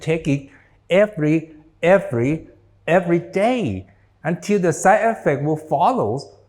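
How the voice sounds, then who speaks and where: Male voice, a bit airy, pitch leaping across a very wide range. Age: 60s. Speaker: doctor. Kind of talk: lecture.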